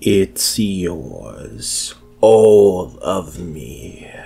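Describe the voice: With a dark, mellow tone and vocal fry, a man puts on a low-pitched character voice, moving very slowly through big pitch swings as faint music plays in the background.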